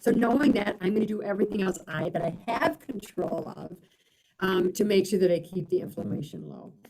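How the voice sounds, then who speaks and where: Talking at a moderate pace, a woman uses an American accent with ordinary pitch variation. It is an ordinary speaking voice. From Michigan. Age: 60s. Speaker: physical therapy professor. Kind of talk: webinar lecture with Q&A. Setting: live online webinar.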